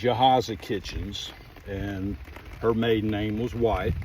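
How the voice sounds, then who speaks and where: A man's medium-pitched voice at a very slow pace, with ordinary pitch variation and noticeable background noise. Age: 60s. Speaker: family history vlogger. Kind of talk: casual vlog narration. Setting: outdoors.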